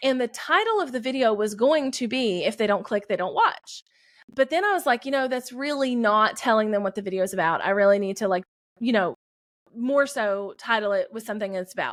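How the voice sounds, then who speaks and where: Fairly high-pitched and fairly quick, a woman talks with a Southern US accent and ordinary pitch variation. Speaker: YouTube creator and business coach. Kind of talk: podcast interview.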